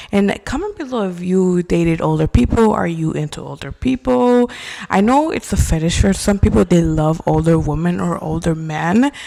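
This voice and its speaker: Against noticeable background noise, a woman with a fairly low pitch speaks at a moderate pace in an animated tone, her pitch swinging very widely. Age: 20s. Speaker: podcast host. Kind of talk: casual chat. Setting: bedroom at home.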